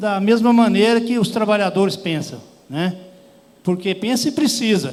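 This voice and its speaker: Amid audible room echo, a man speaks at a high pitch with ordinary pitch variation. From Goiás, central Brazil. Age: 60s. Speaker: rural workers' union leader. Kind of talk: panel talk. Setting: conference stage with audience. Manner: plain, hesitant speech with fillers.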